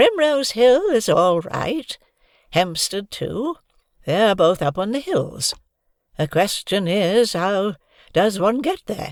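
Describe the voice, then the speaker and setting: Long, frequent pauses break up a put-on character voice, pitched fairly high and delivered at a fairly slow pace. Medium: read story. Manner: calm, dry.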